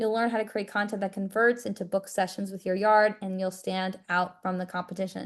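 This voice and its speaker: With an American accent, a woman speaks at medium pitch in a plain, everyday voice, her intonation fairly even against a quiet background. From New York. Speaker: social media marketing coach. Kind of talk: webinar presentation with sales pitch. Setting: video call.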